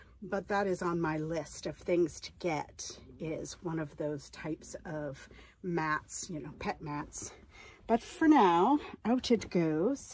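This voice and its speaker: The speech moves at a very slow pace, with ordinary pitch variation and big swings in loudness. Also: woman, fairly low pitch for a woman. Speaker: RV-living lifestyle vlogger and online reseller. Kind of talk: casual vlog narration. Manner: whispering.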